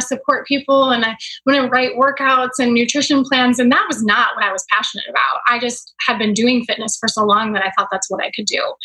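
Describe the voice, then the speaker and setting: A woman speaks very fast in a raised, projected voice, high in pitch with ordinary pitch variation. Noticeable background noise is present. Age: 40s. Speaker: mindset and business coach. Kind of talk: casual interview chat.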